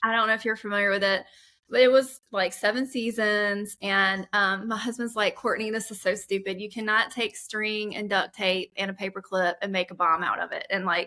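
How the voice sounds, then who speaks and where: This woman has a medium pitch and a bright, sharp tone, with an American accent. Her intonation is fairly even and her pace moderate. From South Carolina. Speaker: webinar host. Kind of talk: casual chat. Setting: webinar.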